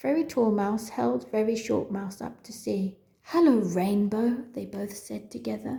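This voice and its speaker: A woman talks with vocal fry and very wide pitch swings. She barely pauses at all. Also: medium pitch for a woman. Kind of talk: children's story reading.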